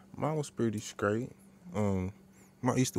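Dry sound with no echo on a man's speech. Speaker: podcast co-host. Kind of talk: casual podcast chat. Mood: relaxed, amused. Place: studio.

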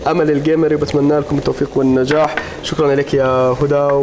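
A man's monotone, flat voice at a very even loudness, with noticeable background noise. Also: fairly quick pace. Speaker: TV show host. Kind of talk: reading viewer messages on air. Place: studio. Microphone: lapel.

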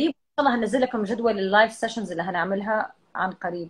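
At a fairly quick pace, a woman speaks in a somewhat breathy voice with lively intonation. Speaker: live streamer. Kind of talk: casual chat. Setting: video call. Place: home room. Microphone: video call.

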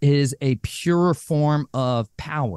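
Recorded with a dry sound and no echo, a man speaks over a quiet background. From Arizona, US. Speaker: abuse survivor and author; podcast guest. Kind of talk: testimony. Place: home room. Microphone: studio mic.

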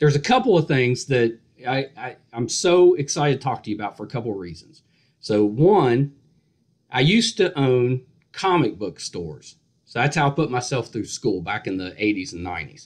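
Over a quiet background, a man keeps to a moderate pace. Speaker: podcast interviewer. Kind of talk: interview question. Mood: friendly, enthusiastic. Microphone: video call.

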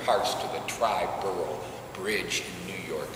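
Over noticeable background noise and audible room echo, a man talks at a fairly slow pace. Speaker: presenter. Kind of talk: first-person historical monologue to an audience. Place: church. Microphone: camera far.

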